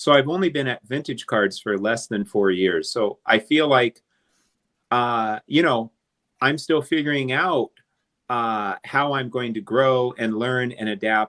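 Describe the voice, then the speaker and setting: A man with a plain, everyday voice speaks at a fairly slow pace. His pitch is medium, with ordinary pitch variation. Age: 60s. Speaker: vintage card collector. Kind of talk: casual chat. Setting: live stream.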